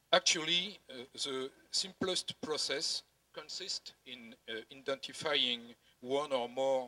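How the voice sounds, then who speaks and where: With a French accent, a man talks at medium pitch in a bright, sharp tone, the sound dry and close with no echo. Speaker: tax auditing director. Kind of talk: conference presentation read from prompter. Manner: halting, many hesitations.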